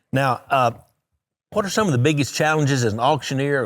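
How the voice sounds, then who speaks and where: Very fast speech with ordinary pitch variation comes through on a very clean recording with a silent background. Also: man. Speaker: TV show host, agriculture commissioner. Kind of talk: TV interview host talk.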